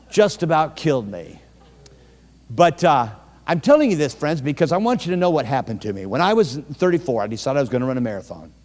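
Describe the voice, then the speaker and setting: With an animated tone, a man talks at a very fast pace over music in the background. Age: 60s. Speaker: evangelist preacher. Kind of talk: sermon.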